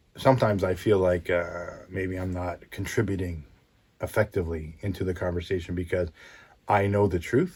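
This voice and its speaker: A man speaks at a moderate pace in a very deep, low, somewhat breathy voice. His intonation stays fairly even on a very clean recording with a silent background. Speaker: podcast host, motivational speaker. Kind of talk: solo podcast monologue. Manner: calm, even.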